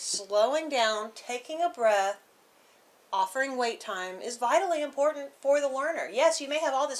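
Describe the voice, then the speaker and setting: Lively intonation marks a woman's high-pitched voice with an American accent. She talks at a fairly quick pace. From northern US. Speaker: educator. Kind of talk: casual discussion. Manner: fast.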